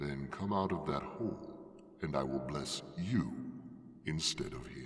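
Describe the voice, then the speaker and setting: In a put-on character voice, a man talks at a fairly slow pace with a very deep, low pitch and a clear echo. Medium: read story. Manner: grave, measured.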